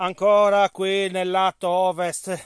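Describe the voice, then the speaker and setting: A man's high-pitched voice, dry and close with no echo. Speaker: amateur archaeology vlogger. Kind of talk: guided site tour. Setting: outdoors.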